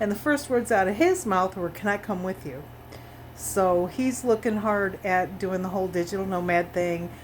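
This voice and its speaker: A woman at medium pitch with an American accent, moderate pace and ordinary pitch variation. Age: 60s. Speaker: retiree vlogger. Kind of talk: casual monologue vlog. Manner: halting, many fillers.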